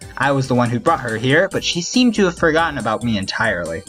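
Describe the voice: The recording consists of plain reading aloud.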